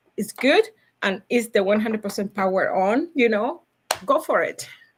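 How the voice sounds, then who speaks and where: A woman speaks with a Cuban accent at a moderate pace. Her pitch sits fairly high. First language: Spanish. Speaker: logistics professional. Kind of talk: podcast interview. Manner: animated, high energy; halting, many fillers.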